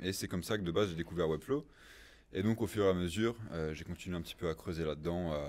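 At a very fast pace, a man talks in a very deep, low pitch. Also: ordinary pitch variation. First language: English (speaking French). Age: 20s. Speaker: design agency founder; podcast guest. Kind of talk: podcast interview; interview answer. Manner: hesitant, many fillers. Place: studio. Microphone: studio mic.

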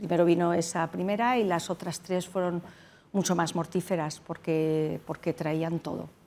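Speaking at a fairly slow pace, a woman has a fairly low pitch, a dark, mellow tone and fairly even intonation. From Spain, Madrid. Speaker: doctor, tsunami survivor; interview guest. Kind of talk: interview. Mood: serious, recalling traumatic event. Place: studio. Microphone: lapel.

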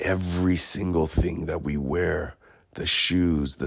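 A man's voice carries vocal fry. His intonation stays fairly even. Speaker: artist. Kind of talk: casual podcast monologue.

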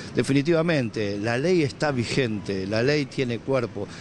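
A man at medium pitch with ordinary pitch variation and a moderate pace, in a dry sound with no echo and light background noise. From Argentina. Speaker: government communications official. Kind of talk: press statement to reporters. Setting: speaking to media at an event. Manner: halting, with repetitions. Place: hall. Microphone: handheld.

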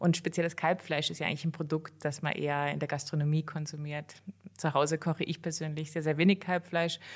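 A woman speaks at a very fast pace in a very deep, low pitch. Her intonation is monotone and flat, captured in a very clean recording with a silent background. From western Germany, near Cologne. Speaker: veterinarian. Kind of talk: interview.

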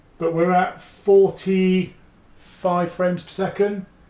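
Over noticeable background noise, a man with a high pitch speaks at a very slow pace with fairly even intonation. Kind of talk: casual tech commentary.

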